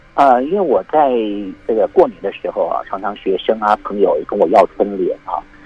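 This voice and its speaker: A man talks at a moderate speed as noticeable background noise carries on. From Taiwan, military dependents' village. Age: 50s. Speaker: calligrapher and university lecturer. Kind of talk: interview.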